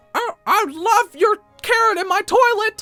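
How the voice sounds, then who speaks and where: Over music in the background, a put-on character voice at an extremely high pitch moves at a moderate pace. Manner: cartoonish.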